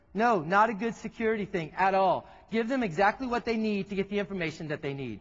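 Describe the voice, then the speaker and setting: Speaking very fast in a Texan accent, a man sounds animated, his pitch high with ordinary variation. His tone stays lively throughout. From Texas. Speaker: tech presenter. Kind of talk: keynote presentation. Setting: stage with audience.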